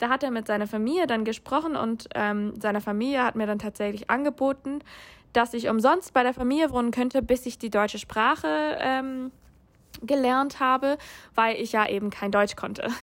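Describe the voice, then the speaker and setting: A speaker with an English accent talks at a moderate pace and ordinary pitch variation. The very clean recording has a silent background. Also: woman, high pitch for a woman. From USA. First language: English (speaking German). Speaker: international master's student. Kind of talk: interview. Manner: hesitant, many filler sounds.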